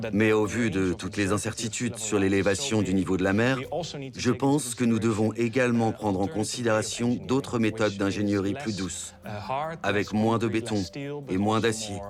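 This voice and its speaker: A man speaks in an ordinary speaking voice at a fairly low pitch and a moderate pace. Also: fairly even intonation. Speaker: voice actor. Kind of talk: documentary voice-over.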